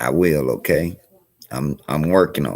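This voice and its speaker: This man has a very deep, low voice in a South Carolina accent. His pace is very slow. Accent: US Southern (South Carolina). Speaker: community organizer streamer. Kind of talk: live stream talk. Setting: library. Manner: halting.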